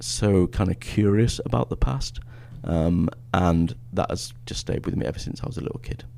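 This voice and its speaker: A man talks at a moderate pace with an English accent. His pitch is very deep and low. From northern England. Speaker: history professor. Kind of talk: podcast interview. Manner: hesitant, many fillers.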